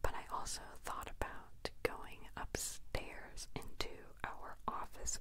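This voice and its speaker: This is a woman. She is whispering. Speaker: vlogger. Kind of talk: casual vlog chat. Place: home room. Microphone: handheld.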